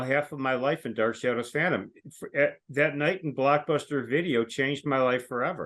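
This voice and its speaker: A man with an unremarkable speaking voice, fairly high pitch and fairly even intonation at a moderate pace against a quiet background. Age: 60s. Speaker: longtime fan of a TV show. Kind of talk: casual chat.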